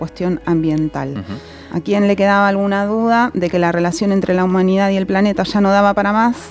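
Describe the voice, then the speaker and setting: A woman's medium-pitched voice at a fairly quick pace, with ordinary pitch variation and noticeable background noise. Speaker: radio host. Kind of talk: scripted radio narration.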